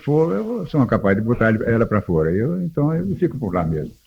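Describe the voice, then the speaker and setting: A man is speaking. His intonation is lively. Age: 70s. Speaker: radio broadcasting pioneer. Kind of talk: casual chat. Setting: radio studio. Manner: animated.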